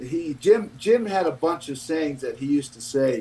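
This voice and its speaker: A man with an unremarkable speaking voice talks at a fairly slow pace, his pitch fairly high with ordinary variation. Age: 60s. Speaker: former pro football player and broadcaster. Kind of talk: casual chat. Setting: livestream.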